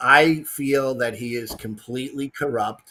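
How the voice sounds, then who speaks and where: A man's medium-pitched voice in a New York accent, fairly slow, with fairly even intonation. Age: 60s. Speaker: caller. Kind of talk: casual chat.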